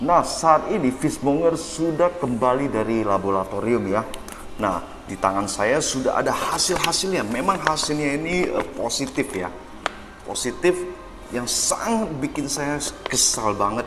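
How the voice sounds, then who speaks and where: A man with a fairly high pitch talks at a fairly slow pace with very wide pitch swings, amid noticeable background noise and audible room echo. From Medan, North Sumatra, Indonesia. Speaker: fishmonger vlogger. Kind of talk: vlog narration while driving and explaining lab results.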